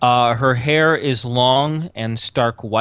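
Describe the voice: The speaker gives a plain reading aloud with ordinary pitch variation.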